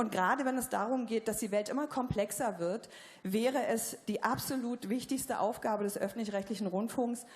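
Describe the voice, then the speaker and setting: A woman with a Berlin accent, fairly high in pitch, her intonation fairly even and her loudness very even. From East Berlin. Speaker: journalist, audience member. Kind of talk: audience question at panel discussion. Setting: theatre stage with audience. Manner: hesitant, many fillers.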